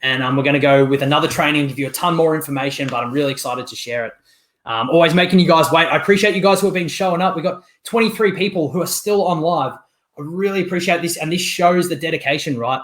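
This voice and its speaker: A very clean recording with a silent background captures a man at fairly high pitch. He talks at a very fast pace with ordinary pitch variation. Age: 30s. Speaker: online marketing coach. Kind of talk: live-stream training. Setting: live stream. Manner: casual, filler-heavy.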